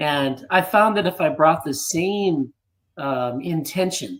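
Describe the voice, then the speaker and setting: This man speaks at a very slow pace with an American accent. His fairly high pitch carries lively intonation. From United States. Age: 60s. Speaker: fitness system co-creator. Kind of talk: interview.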